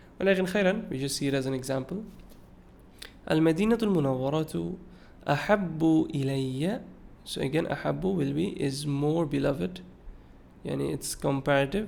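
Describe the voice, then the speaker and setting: A man speaks fairly slowly with long, frequent pauses amid audible room echo. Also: fairly high pitch for a man. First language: Bengali. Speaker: Arabic and hadith teacher. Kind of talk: lecture. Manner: mixes Arabic and English, with hesitations.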